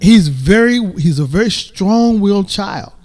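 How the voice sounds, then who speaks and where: With lively intonation, this man talks in a voice pitched high for a man. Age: 60s. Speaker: grandfather of guest family. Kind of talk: casual chat.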